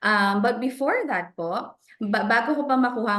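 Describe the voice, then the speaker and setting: With ordinary pitch variation, a woman talks fairly quickly against noticeable background noise. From Philippines (Bulacan). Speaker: financial professional. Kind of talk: interview in Taglish. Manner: casual, code-switching.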